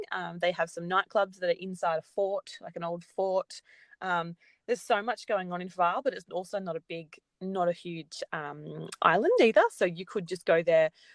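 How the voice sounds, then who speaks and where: In a strong Australian accent, a woman at medium pitch talks at a moderate pace with fairly even intonation and big swings in loudness, in a dry, close recording with no echo and a quiet background. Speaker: travel industry representative. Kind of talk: casual interview chat.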